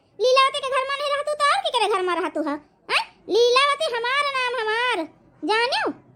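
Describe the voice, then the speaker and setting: A woman uses a cartoonish character voice with an extremely high pitch. Her intonation is lively and her pace fairly quick. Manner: scolding, commanding.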